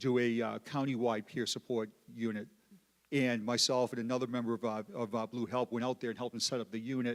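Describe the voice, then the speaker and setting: Over a very clean recording with a silent background, the sound is dry and close with no echo. A man with a Boston accent talks at a very fast pace and a medium pitch. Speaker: police peer support advocate. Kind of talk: panel discussion. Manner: halting, repeats words.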